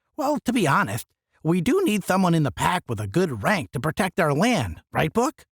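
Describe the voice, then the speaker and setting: The speaker uses a put-on character voice. The delivery is moderately paced. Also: man, high pitch for a man. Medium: read story.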